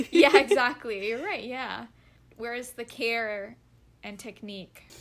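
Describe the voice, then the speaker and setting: On a very clean recording with a silent background, a woman with a normal speaking voice and a fairly high pitch speaks at a fairly slow pace, with lively intonation and big swings in loudness. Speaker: podcast co-host. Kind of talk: podcast conversation.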